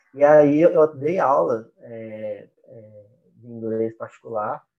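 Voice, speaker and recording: A man is speaking. His intonation is lively. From Brazil, interior of Minas Gerais. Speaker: business partner at language school, entrepreneur. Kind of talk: casual interview. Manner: halting, many fillers.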